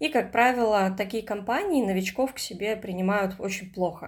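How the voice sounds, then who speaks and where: Recorded very cleanly against a silent background, a woman with an unremarkable speaking voice talks at a moderate pace, her medium pitch showing ordinary variation. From Russian Far East, Komsomolsk-on-Amur. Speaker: writer. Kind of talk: casual chat.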